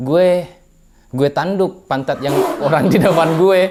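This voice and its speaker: Noticeable background noise sits behind a man whose pitch is fairly high, with ordinary pitch variation. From Indonesia, West Sulawesi (Polewali Mandar). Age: young. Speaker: interviewee. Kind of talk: casual interview. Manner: halting.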